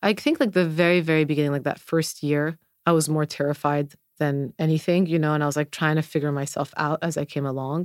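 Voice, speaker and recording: A woman speaks at a very deep, low pitch and a very fast pace, her intonation monotone and flat. The sound is dry and close, without echo. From Lebanon. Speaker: dermatologist. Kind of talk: casual interview chat.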